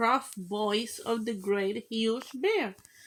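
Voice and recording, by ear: A natural voice, reading a text aloud.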